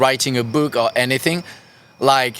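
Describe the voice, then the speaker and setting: With a French accent, a man speaks at a fairly slow pace. His pitch is fairly high and his tone bright and sharp. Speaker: punk band musician. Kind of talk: casual chat. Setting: studio. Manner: halting.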